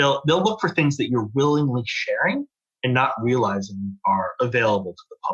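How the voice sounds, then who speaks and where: A man speaks with an American accent in a fairly high, somewhat breathy voice. His pitch swings very widely, and the sound is dry and close with no echo. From United States. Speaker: fraud analytics manager. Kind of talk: podcast interview.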